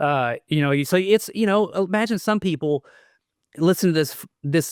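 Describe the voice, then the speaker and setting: A man in a Southern US accent at a moderate pace with lively intonation, on a very clean recording with a silent background and a dry, close sound with no echo. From US South. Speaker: metal guitarist and producer. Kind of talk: casual interview chat. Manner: halting, many fillers.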